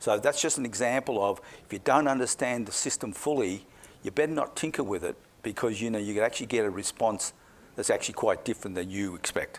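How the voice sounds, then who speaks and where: A man's medium-pitched voice with an Australian accent, very fast pace and ordinary pitch variation, in a very clean recording with a silent background. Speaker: climate scientist. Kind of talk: public talk Q&A.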